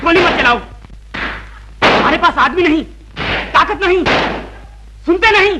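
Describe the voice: Over faint background noise, a man puts on a character voice at an extremely high pitch, bright and sharp in tone, with lively intonation at a fairly slow pace.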